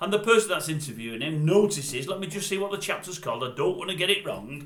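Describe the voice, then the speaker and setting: A man talks at a very fast pace with lively intonation. Noticeable background noise sits behind him. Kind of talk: casual talk to camera. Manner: chatty, storytelling.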